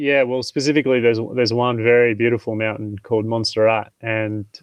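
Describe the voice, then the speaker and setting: A man's medium-pitched voice with a strong Australian accent and flat, monotone intonation. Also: fairly quick pace. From Tasmania, Australia. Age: 30s. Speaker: mountain training specialist. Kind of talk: podcast interview.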